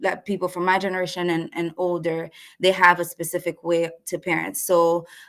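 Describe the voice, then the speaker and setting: This woman has a Haitian accent. Her pitch sits fairly low. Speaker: marriage and family therapist. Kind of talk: webinar presentation. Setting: live online webinar. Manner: halting.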